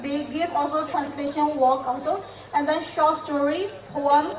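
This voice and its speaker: Heard through noticeable background noise and audible room echo, a woman speaks at a moderate pace with a high pitch and flat, monotone intonation. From Myanmar. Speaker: poet and former English lecturer. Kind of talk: festival talk.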